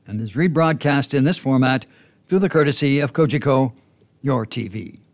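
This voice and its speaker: On a very clean recording with a silent background, a man with an unremarkable speaking voice talks fairly quickly at a fairly high pitch. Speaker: podcast narrator. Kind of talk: scripted narration.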